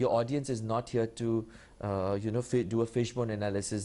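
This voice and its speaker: A man's medium-pitched voice with an Indian accent, a dark, mellow tone, fairly quick pace and fairly even intonation, over a quiet background. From India (Kolkata). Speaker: public speaking champion. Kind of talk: TV interview. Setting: TV studio. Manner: fast when nervous; clearly articulated.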